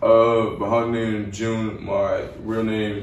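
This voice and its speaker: A man in a New York accent speaks with monotone, flat intonation amid noticeable background noise and audible room echo. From New York City, Staten Island. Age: young. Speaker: rapper. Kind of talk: casual interview. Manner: casual, filler-heavy.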